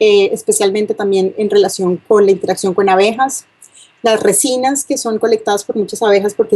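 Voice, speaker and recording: Here a woman talks with a Colombian accent at a medium pitch. Her intonation stays fairly even. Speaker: university lecturer, bee geneticist. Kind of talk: lecture. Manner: hesitant, many fillers.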